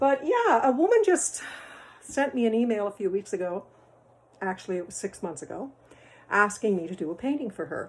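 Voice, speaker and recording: A woman with a fairly high voice talks at a fairly quick pace with lively intonation, big swings in loudness and long, frequent pauses. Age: 60s. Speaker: amateur painter. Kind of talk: video application, casual monologue. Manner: halting.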